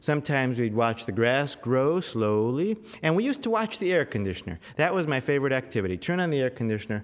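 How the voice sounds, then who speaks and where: A man's medium-pitched voice with a Californian accent, fairly quick pace, very wide pitch swings and an animated, playful tone. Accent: General American, Californian. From US West Coast, Los Angeles suburbs. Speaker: storyteller. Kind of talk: storytelling performance before a live audience. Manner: animated, conversational, playful audience banter.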